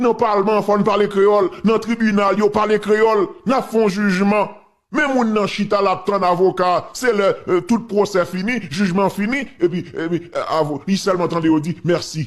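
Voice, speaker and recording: A man with a Haitian accent speaks at a moderate pace in a high voice, his pitch rising and falling in an ordinary way. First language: Haitian Creole (speaking French). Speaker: political commentator. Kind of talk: casual commentary. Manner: animated.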